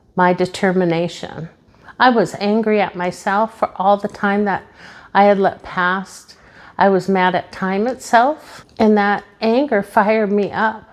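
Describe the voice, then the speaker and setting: A woman talks fairly slowly in a plain, everyday voice with fairly even intonation. Her pitch is medium, and the background is quiet. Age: 50s. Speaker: motivational YouTuber. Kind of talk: motivational talk to camera. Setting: home office, seated on camera. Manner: earnest, direct address.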